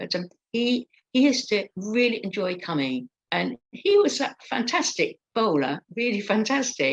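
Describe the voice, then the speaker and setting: A woman's fairly high voice with vocal fry and very wide pitch swings, fairly slow, in a dry, close sound with no echo. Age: 60s. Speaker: stroke support group leader and stroke survivor. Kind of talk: interview, personal account. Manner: halting, many fillers.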